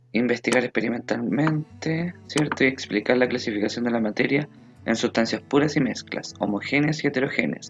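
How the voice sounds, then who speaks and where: Music plays behind a man whose voice sits at a medium pitch and shows ordinary pitch variation. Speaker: school science teacher. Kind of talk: lecture.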